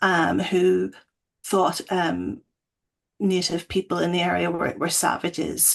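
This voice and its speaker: A woman with a Northern Irish accent, at a very slow pace. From Northern Ireland. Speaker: academic. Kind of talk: panel discussion.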